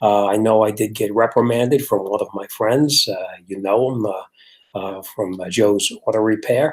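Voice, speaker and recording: Speaking with an American accent, a man keeps a moderate pace, a fairly low pitch and fairly even intonation. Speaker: car mechanic and livestream host. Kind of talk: casual live stream chat. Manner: halting, many fillers.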